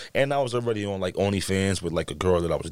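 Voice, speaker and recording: A man in a New York accent at a very fast pace, on a very clean recording with a silent background. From New York, the Bronx. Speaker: adult film performer. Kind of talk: casual chat.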